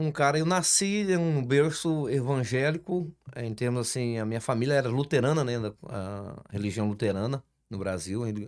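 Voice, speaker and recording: This man has a normal speaking voice, medium in pitch, with lively intonation at a fairly slow pace. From Brazil, Espírito Santo. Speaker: construction business owner, church guest. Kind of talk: casual interview.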